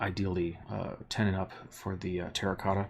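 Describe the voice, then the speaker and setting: Soft-spoken and somewhat breathy, a man talks at a moderate pace in a very deep, low pitch. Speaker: sculptor and art teacher. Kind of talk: live stream craft tutorial. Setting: live stream in workspace. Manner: hesitant, many fillers.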